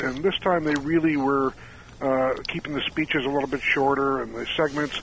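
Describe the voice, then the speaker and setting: A man speaks at a moderate pace with a fairly high pitch. Noticeable background noise runs behind him. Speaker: magazine editor. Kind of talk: radio interview.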